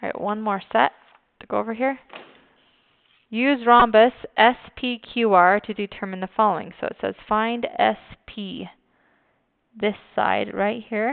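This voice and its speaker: The speech goes at a fairly slow pace with long, frequent pauses. Pitch variation is ordinary. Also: woman, fairly high pitch for a woman. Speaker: high school math teacher. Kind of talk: recorded video lesson.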